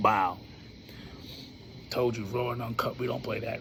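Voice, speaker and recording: A man talks at a medium pitch. Noticeable background noise sits under his voice. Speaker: cancer survivor. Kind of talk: casual talk to camera. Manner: casual, conversational.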